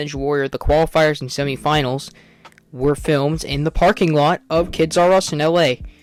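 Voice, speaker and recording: A man speaks at a moderate pace with a fairly high pitch and fairly even intonation. Music plays in the background. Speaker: video essay creator. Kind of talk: scripted narration.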